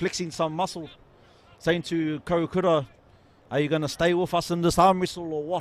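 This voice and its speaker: With a New Zealand accent and an excited tone, a man talks at a moderate pace, his high pitch showing ordinary variation. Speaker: rugby commentator. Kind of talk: live commentary.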